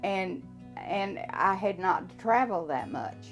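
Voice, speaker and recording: With music in the background, a woman with an American accent speaks at a fairly slow pace. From Texas. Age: 80s+. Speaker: retired orthopedic technologist. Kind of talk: interview.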